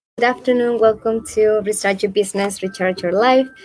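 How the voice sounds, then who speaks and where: A woman speaks over noticeable background noise. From Spain. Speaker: webinar host. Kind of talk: interview. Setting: live online stream.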